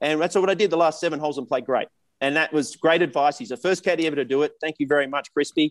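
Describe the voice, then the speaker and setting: A man with an Australian accent talks very fast in a fairly high pitch, with ordinary pitch variation. The sound is dry and close, with no echo. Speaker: professional golfer. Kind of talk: casual chat.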